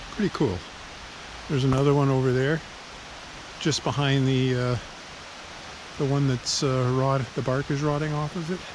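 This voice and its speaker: Fairly high in pitch, a man speaks at a moderate pace with fairly even intonation over noticeable background noise. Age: 70s. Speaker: amateur travel vlogger. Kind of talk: casual tour narration. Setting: outdoors. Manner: hesitant, many fillers.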